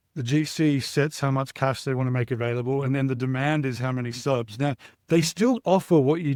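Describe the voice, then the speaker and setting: In an Australian accent, a man of medium pitch speaks at a fairly quick pace with fairly even intonation, recorded very cleanly against a silent background in a dry, close sound with no echo. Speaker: startup CEO. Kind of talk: interview answer.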